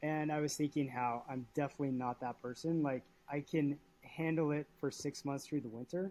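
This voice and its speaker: A man's dark, mellow voice, fairly high in pitch, with fairly even intonation. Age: 30s. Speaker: small business owner, cyclist. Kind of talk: casual chat. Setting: video call.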